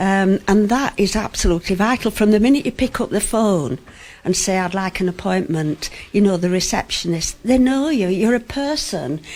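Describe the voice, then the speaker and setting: Lively intonation at a moderate pace marks this voice with a Yorkshire accent. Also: woman, medium pitch for a woman. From West Yorkshire. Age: 70s. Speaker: patient. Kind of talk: radio interview. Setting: GP surgery, live broadcast.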